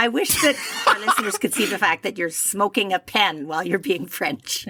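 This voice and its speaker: A woman's medium-pitched voice with lively intonation at a moderate pace, amid noticeable background noise. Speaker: podcast host. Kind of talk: casual chat. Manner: animated.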